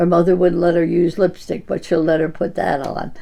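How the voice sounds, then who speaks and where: A woman's dark, mellow tone, fairly low in pitch, with vocal fry. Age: 90s. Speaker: centenarian-to-be community member. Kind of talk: interview. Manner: halting.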